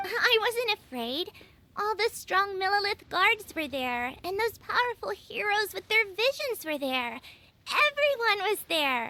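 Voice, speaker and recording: In a put-on character voice of extremely high pitch, the speaker talks at a fairly slow pace with very wide pitch swings. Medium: video game.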